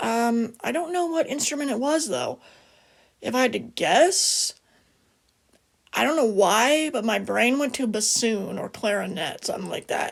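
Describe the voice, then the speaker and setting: A woman speaks quietly at a fairly slow pace, her fairly high pitch swinging very widely. Vocal fry runs through her voice. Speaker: music vlogger. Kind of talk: casual video review. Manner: hesitant, many fillers; lowered, quiet voice.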